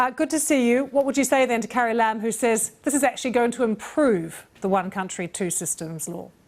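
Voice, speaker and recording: With a plain, everyday voice, a woman talks at a fairly quick pace and a fairly high pitch, using lively intonation and hardly any pauses. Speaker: news presenter. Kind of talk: news interview questions.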